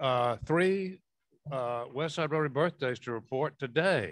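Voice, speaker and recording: A man with a normal speaking voice and a fairly high pitch speaks at a fairly slow pace with ordinary pitch variation. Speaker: club member. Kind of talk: casual chat.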